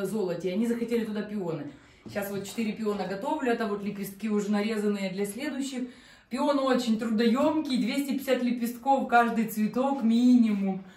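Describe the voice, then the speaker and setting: There is audible room echo as a woman talks at a moderate pace in a fairly high pitch. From Ukraine, Chernihiv region. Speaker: decorator, artificial flower maker. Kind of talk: casual chat. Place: home room.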